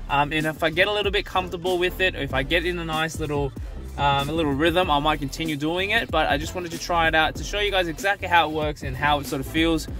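A man talks at a very fast pace with ordinary pitch variation. Clear music plays behind his dry voice, which has no echo. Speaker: vlogger. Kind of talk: casual vlog chat. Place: car. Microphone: phone near.

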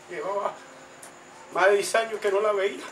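The voice stays in monotone, flat intonation over light background noise. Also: man. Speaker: speaker. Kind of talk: testimony in a religious gathering. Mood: fervent, thankful. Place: home room. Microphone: camera far.

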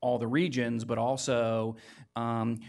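Flat, monotone intonation at a fairly slow pace over a quiet background. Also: man. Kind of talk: presentation to the board. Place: meeting room. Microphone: podium.

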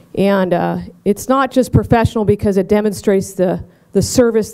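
A woman talks at a fairly quick pace in a normal speaking voice with ordinary pitch variation. The background is quiet. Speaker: event host. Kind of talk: ceremony speech. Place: hall.

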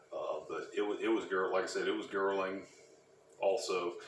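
A man talks at a fairly slow pace with audible room echo and light background noise. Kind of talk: tutorial. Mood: relaxed, matter-of-fact. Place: workshop. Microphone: camera far.

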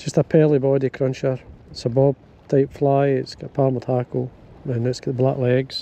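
Flat and monotone, a man's dark, mellow voice moves at a moderate pace in a dry recording with no echo. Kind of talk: tutorial. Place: waterside. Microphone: phone near.

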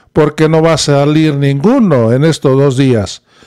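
A man speaks at a fairly slow pace with a quiet background behind him. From Mexico. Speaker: political news commentator. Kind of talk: political commentary. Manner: animated. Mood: critical, indignant. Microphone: studio mic.

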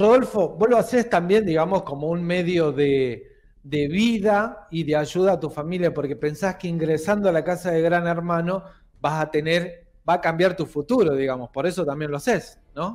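Speech proceeds at a moderate tempo, its pitch varying in an ordinary way. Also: man, high pitch for a man. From Argentina. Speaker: local news show host. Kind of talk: interview. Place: studio.

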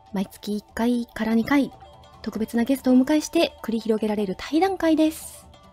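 A woman speaks at a moderate pace in a high pitch with lively intonation. Music plays in the background. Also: big swings in loudness. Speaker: ghost story host. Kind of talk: live stream show opening.

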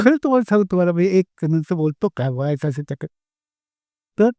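Here a man speaks at a high pitch with lively intonation. The sound is dry and close, with no echo. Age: 80s+. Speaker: spiritual guru. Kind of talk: satsang Q&A talk. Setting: hall with audience.

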